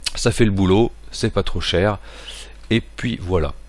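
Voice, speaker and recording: This man's voice sits at a very deep, low pitch with vocal fry and ordinary pitch variation. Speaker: amateur product reviewer. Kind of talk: product review. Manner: casual, hesitant with fillers. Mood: relaxed, joking. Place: home room. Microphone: poor crackling sound; camera far.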